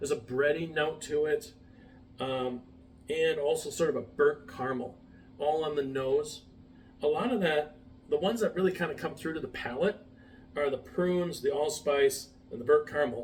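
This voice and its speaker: Noticeable background noise surrounds a man speaking at a moderate pace in a fairly high voice with ordinary pitch variation and long, frequent pauses. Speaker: whiskey reviewer. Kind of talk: tasting review to camera. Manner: hesitant, many fillers.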